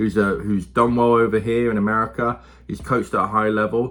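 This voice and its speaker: A man with an English accent, bright and sharp in tone, at a very fast pace. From England. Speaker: youth football coach and football commentator. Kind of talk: casual monologue. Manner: conversational, with many fillers.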